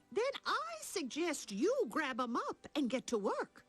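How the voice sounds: A woman does a cartoonish character voice, high-pitched with very wide pitch swings, at a fairly slow pace and very even loudness, in a dry, close sound with no echo and faint music in the background.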